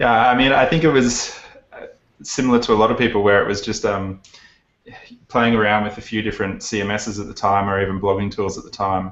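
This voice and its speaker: Fairly quick, fairly low-pitched male speech in an Australian accent with fairly even intonation. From Australia, Brisbane. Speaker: plugin developer, business founder. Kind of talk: interview.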